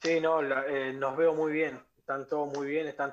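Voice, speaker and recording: A man uses a normal speaking voice, fairly high in pitch, with fairly even intonation and a fairly slow pace. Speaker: professional footballer. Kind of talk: interview.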